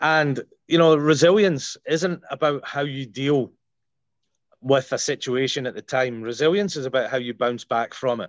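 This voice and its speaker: With a Scottish accent, a man talks at a moderate pace. The sound is dry and close with no echo, over a quiet background. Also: ordinary pitch variation. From Scotland. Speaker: paramedic. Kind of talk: casual interview chat.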